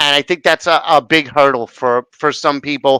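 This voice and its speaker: A man with an American accent has a bright, sharp tone and a fairly high pitch with ordinary variation. He speaks at a moderate pace in a dry, close sound with no echo. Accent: strong blue-collar New York City. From New York City. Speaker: interview host. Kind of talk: interview conversation. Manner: slurs some words, imperfect diction.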